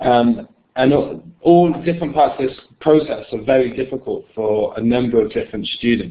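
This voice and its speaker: A man with a British accent, medium pitch, ordinary pitch variation and a moderate pace. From United Kingdom. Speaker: software company presenter. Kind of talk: webinar product presentation. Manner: hesitant, many filler words.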